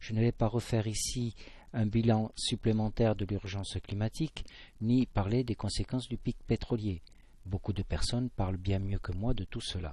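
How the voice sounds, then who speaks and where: A man with a southwestern French accent talks at a fairly slow pace, somewhat breathy, over a quiet background. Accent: southwest French. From southwest France. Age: 50s. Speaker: amateur science presenter. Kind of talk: scripted narration.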